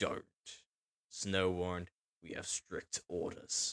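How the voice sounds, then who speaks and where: Quiet and very slow, a man's put-on character voice sits at a very deep, low pitch, with a dry, close sound with no echo. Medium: read story. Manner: cold and curt.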